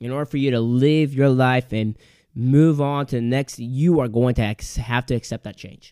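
Speaking at a moderate pace, a man with an American accent and a normal speaking voice uses a medium pitch with ordinary variation. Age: 20s. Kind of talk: solo podcast monologue, motivational faith talk. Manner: casual, with frequent fillers and repetitions.

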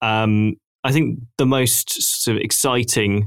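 The speech moves at a very slow pace with ordinary pitch variation. It's a very clean recording with a silent background and a dry, close sound with no echo. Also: man. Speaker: podcast host. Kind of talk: casual chat.

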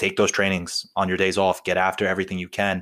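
A man's very deep, low voice with a New Jersey accent, on a very clean recording with a silent background. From North Jersey, US. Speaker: police officer, meme page creator. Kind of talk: casual chat.

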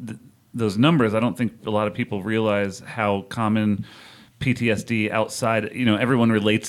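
The voice is a man's. He speaks with a fairly low pitch. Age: 30s. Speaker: podcast host and editor. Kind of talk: interview conversation.

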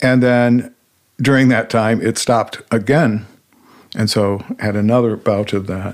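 A man with an unremarkable speaking voice talks fairly slowly at a medium pitch, keeping his intonation fairly even. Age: 60s. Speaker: guest sharing personal near-death experience. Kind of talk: testimony.

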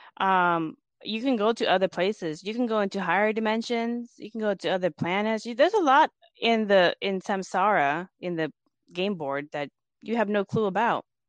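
Here is a woman with an unremarkable speaking voice at a medium pitch. She keeps a moderate pace and ordinary pitch variation against a quiet background. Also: dry, close sound with no echo. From US, Laotian immigrant family. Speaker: Buddhist author. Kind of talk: interview.

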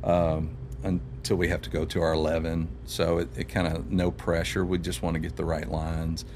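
A man's very deep, low voice with an American accent, a moderate pace and ordinary pitch variation, over noticeable background noise. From Louisville, Kentucky (south end, Valley Station). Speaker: songwriter and singer. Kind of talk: casual chat.

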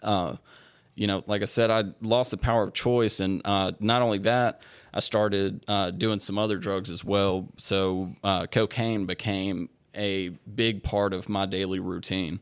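With fairly even intonation and a fairly low pitch, a man speaks on a very clean recording against a silent background. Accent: Louisiana. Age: 20s. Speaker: recovering alcoholic sharing his story. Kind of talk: testimony.

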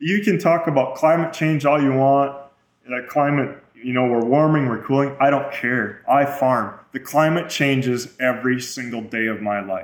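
At a moderate pace, a man talks in an unremarkable speaking voice, fairly high in pitch with ordinary pitch variation. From Minnesota. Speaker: farmer and rancher. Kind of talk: interview.

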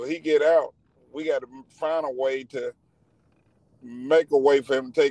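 Speaking with a Southern US accent, a man has a fairly high pitch, a dark, mellow tone and ordinary pitch variation, recorded dry and close with no echo. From rural Georgia, near Athens. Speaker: truck driver. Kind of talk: casual interview.

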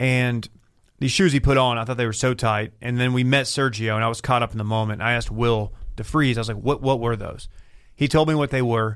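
A man's ordinary speaking voice with an American accent, medium pitch, fairly even intonation and a fairly quick pace. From West Texas. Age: 30s. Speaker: podcast co-worker guest. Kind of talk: casual chat. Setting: studio.

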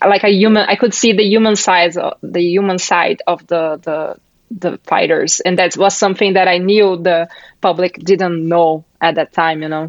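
The speaker has a Brazilian accent. The intonation stays fairly even. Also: woman, medium pitch for a woman, moderate pace, dry, close sound with no echo. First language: Portuguese. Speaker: MMA journalist. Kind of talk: casual interview chat.

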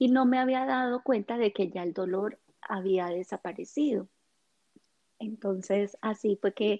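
In a dry, close sound with no echo, a woman speaks at a fairly slow pace, her fairly high voice dark and mellow in tone with fairly even intonation. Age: 30s. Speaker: meditation teacher and essential oils advocate. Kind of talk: interview.

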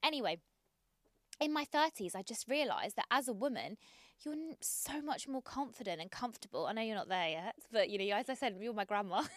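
A woman speaks in an ordinary speaking voice at a fairly high pitch. Her intonation is lively, and the sound is dry and close with no echo. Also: fairly quick pace. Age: 30s. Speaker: podcast guest. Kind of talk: casual chat.

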